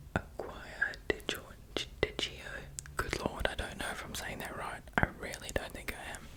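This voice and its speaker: Whispering in a calm tone, a man with an Australian accent takes long, frequent pauses. Noticeable background noise can be heard. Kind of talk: ASMR soft-spoken talk. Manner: soft-spoken, calm, slow.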